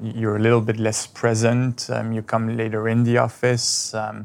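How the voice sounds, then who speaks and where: With a French accent, a man talks at a fairly slow pace and a medium pitch. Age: 20s. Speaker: real estate agent. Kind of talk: counseling session.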